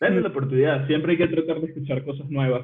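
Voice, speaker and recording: This man's voice sits at a fairly high pitch. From Venezuela. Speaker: designer and programmer. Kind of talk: casual chat.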